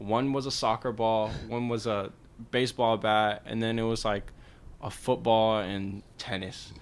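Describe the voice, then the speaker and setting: A man with an American accent speaks at a fairly slow pace in a medium pitch, his intonation monotone and flat. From Georgia, US South. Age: young. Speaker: rapper and student. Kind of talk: casual chat.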